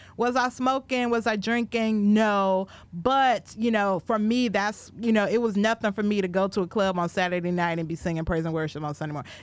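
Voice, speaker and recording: A woman with an American accent and a normal speaking voice talks at a fairly quick pace with hardly any pauses, medium in pitch with ordinary pitch variation, on a very clean recording with a silent background. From Minnesota, Minneapolis area. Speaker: podcast co-host. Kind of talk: casual chat.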